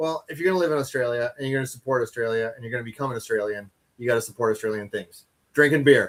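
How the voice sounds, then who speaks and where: This man, with a slight Canadian accent, speaks very fast at a medium pitch, his loudness swinging widely. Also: ordinary pitch variation. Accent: slight Canadian twang. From Canada. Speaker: chili eating champion. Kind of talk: casual interview.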